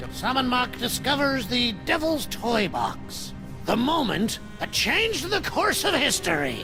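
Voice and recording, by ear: A cartoonish character voice moves at a fairly slow pace over loud music in the background. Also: man, extremely high pitch for a man.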